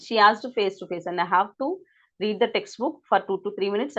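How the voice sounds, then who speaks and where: A woman's ordinary speaking voice, medium in pitch, with ordinary pitch variation. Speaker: English teacher. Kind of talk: lecture.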